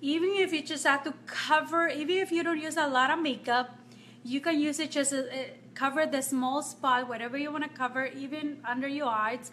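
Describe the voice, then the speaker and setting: Over light background noise, a woman with a high pitch talks at a moderate pace with fairly even intonation. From Nicaragua. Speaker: makeup vlogger. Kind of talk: live-stream makeup tutorial. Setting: home, live video stream. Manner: casual, chatty with frequent fillers. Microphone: phone near.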